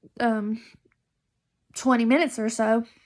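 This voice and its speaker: A woman with an American accent speaks at a fairly slow pace and a fairly high pitch. The recording is very clean, with a silent background. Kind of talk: casual vlog monologue. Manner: loud; hesitant, many fillers.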